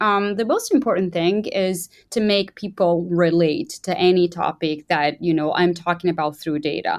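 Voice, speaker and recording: A woman speaks in a plain, everyday voice. Her pitch is medium, and the background is quiet. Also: hardly any pauses. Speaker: information designer. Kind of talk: casual interview conversation.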